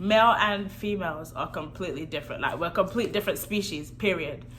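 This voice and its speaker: Amid audible room echo, a woman with vocal fry talks fairly quickly at medium pitch, her intonation lively. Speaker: married vlogger. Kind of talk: casual chat. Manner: soft-spoken.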